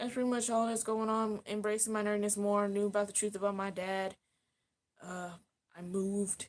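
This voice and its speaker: This is an unremarkable speaking voice, moving at a moderate pace. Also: woman, medium pitch for a woman. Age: 30s. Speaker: YouTuber. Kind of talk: casual chat. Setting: live stream. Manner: rambling, filler-heavy.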